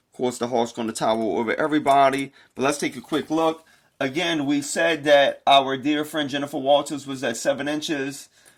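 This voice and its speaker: A man with an unremarkable speaking voice speaks at a fairly quick pace in an American accent, his pitch fairly high and his intonation fairly even, on a very clean recording with a silent background. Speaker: toy reviewer. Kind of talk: product review.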